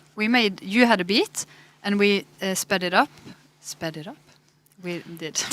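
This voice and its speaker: Speaking at a fairly slow pace in a Norwegian accent, a woman leaves long, frequent pauses and shows ordinary pitch variation. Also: medium pitch for a woman, big swings in loudness. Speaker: musician. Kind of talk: casual chat.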